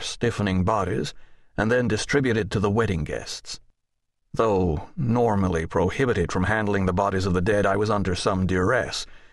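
A man with a fairly low pitch and an unremarkable speaking voice talks at a moderate pace. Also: very even loudness. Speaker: audiobook narrator. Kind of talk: scripted audiobook narration in first person, dramatic. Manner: grave, brooding, world-weary, with dark wry irony and a measured storyteller's pace.

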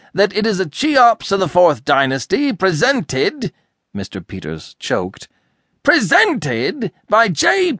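A man at a fairly slow pace in an animated, calm tone, bright and sharp, with very wide pitch swings, a dry, close sound with no echo and a quiet background. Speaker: audiobook narrator. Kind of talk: audiobook narration of a comic novel, voicing characters in dialogue. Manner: animated, switching between gruff irascible outbursts and calm narration.

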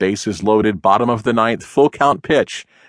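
A man talks in a plain, everyday voice at a moderate pace and medium pitch, with ordinary pitch variation. The sound is dry and close with no echo, over a quiet background. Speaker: audiobook narrator. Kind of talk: audiobook narration, dramatic and tongue-in-cheek. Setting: studio. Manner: wry, theatrical, with comic pauses; conversational, addressing the listener as 'you'.

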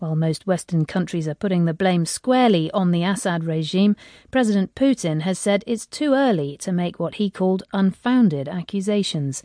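A woman with a British accent speaks at a moderate pace with hardly any pauses, her dark, mellow tone carried by lively intonation in a dry, close recording with no echo over a quiet background. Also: medium pitch for a woman. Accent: British English, BBC broadcast. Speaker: radio news presenter. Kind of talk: formal newsreading, scripted broadcast headlines delivered crisply. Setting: studio. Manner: formal, measured, authoritative, steady.

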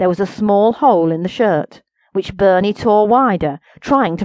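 This is plain reading aloud with ordinary pitch variation over a quiet background.

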